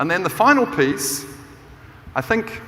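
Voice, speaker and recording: Noticeable background noise and audible room echo surround the recording. A man speaks at a moderate pace with a New Zealand accent. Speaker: business professor and keynote speaker. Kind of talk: conference keynote talk. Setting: stage with audience. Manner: animated.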